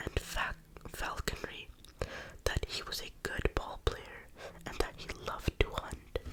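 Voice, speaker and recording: Whispering at a fairly slow pace with long, frequent pauses over noticeable background noise. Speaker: ASMR creator. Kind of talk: ASMR book reading. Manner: whispered.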